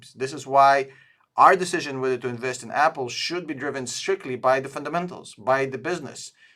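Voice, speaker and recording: A man with a non-native accent speaks at a moderate pace. His voice is fairly high, with ordinary pitch variation. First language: not English. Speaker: stock analysis youtuber, tool co-founder. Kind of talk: screen-share stock review. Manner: hesitant, many fillers.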